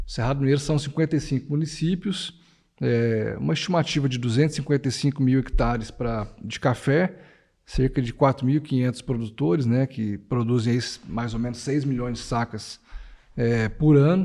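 A dark, mellow tone at a fairly slow pace, with ordinary pitch variation against a quiet background. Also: man, medium pitch for a man. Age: 40s. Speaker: coffee growers' federation executive. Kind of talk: casual chat. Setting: studio.

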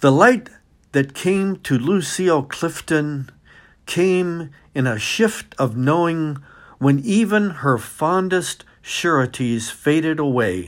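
On a very clean recording with a silent background, a man speaks very slowly at a fairly high pitch, his tone warm and his intonation lively. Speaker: retired professor reading poems. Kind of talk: poetry reading, calm and warm, with a short spoken intro and sign-off. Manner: measured, unhurried, expressive reading with emphasis on key phrases; warm, friendly, gently conversational at start and end.

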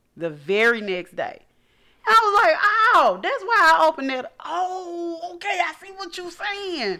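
A woman's raised, projected voice sits at an extremely high pitch, with very wide pitch swings and big swings in loudness. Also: fairly slow pace. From Arkansas, Little Rock. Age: 40s. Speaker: podcast guest, host's mother. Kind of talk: casual chat.

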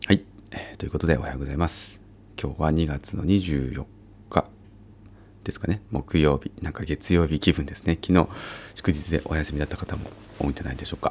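Long, frequent pauses break up a man's very deep, low voice, which carries vocal fry and ordinary pitch variation. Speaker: architecture firm co-owner and vacant-house activist podcaster. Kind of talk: casual solo podcast monologue.

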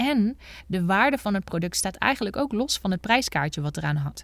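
In a very clean recording with a silent background, a woman speaks at a medium pitch with lively intonation. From Netherlands, North Brabant (Bergen op Zoom). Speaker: business coach and podcast host. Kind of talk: solo podcast monologue. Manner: animated.

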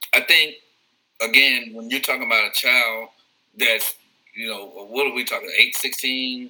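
This man speaks at a moderate pace with long, frequent pauses. His loudness swings widely. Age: 40s. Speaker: credit repair consultant and former teacher. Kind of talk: podcast interview. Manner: repeats words when starting sentences.

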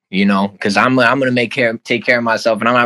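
In a Chicago-area accent, a man speaks very fast with a fairly low pitch, a bright, sharp tone, and fairly even intonation. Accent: Chicago-area American English. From Oak Park, Chicago area. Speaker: music artist. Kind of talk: casual interview.

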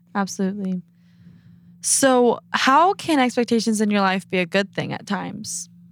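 A woman's medium-pitched voice with ordinary pitch variation, at a moderate pace. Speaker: podcast host. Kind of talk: casual chat. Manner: animated.

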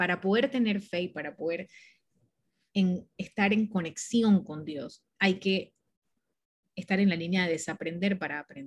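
Her voice is medium in pitch and somewhat breathy. The woman leaves long, frequent pauses, with ordinary pitch variation. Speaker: spiritual mentor and marketing agency co-founder. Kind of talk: interview.

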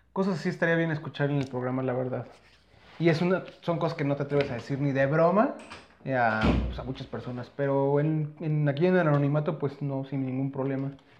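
A man with an ordinary speaking voice talks at a fairly quick pace and fairly high pitch with fairly even intonation. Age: 30s. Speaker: podcast co-host. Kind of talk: casual chat.

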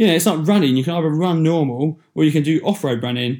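A man with an English accent speaks at a fairly quick pace, his intonation lively. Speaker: podcast host. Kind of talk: solo motivational talk. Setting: solo recording into a microphone. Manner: casual, with many fillers.

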